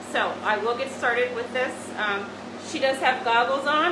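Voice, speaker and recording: A loud woman's high voice, fairly quick, with ordinary pitch variation, noticeable background noise and audible room echo. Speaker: medical spa doctor doing a treatment demo. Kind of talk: live treatment demonstration. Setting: treatment room, virtual open house video. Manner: hesitant, many fillers; speaking loudly over laser noise.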